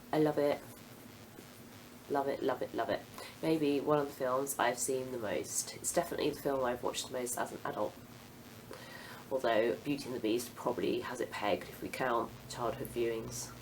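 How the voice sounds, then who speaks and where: In a British accent, a woman with a very deep, low pitch talks at a fairly quick pace, broken by long, frequent pauses. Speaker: book vlogger. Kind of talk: casual monologue to camera. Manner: hesitant with frequent ums.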